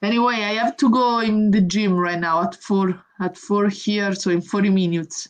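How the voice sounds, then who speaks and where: A woman with an Italian accent talks with hardly any pauses at a medium pitch and fairly even intonation. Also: moderate pace. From Italy. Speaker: professional boxer. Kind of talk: interview.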